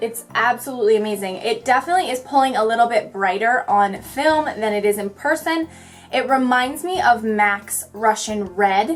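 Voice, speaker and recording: Over music in the background, a woman speaks at a moderate pace with a fairly high pitch and lively intonation. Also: hardly any pauses. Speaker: beauty vlogger. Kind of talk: makeup tutorial talk-through. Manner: chatty, goofy.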